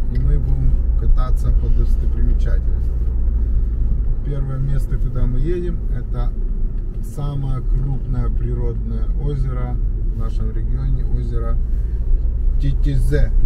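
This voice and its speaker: A man talks at a fairly slow pace, breaking often with long pauses, while loud background noise fills the recording. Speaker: travel vlogger. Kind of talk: casual vlog chat. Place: car. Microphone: phone near.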